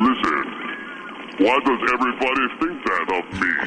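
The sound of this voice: A put-on character voice at a moderate pace, over clear background noise. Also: man, medium pitch for a man.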